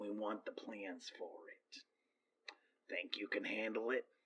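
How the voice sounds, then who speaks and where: Raspy and fairly slow, a man performs a put-on character voice. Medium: actual play. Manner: polite, businesslike.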